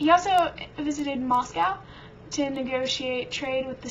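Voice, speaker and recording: Over noticeable background noise, a woman talks with lively intonation at a high pitch. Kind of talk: casual history study lecture.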